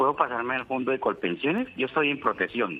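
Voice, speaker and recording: Fairly quick speech from a man at a medium pitch. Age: 50s. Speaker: caller. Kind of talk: phone-in question. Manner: halting.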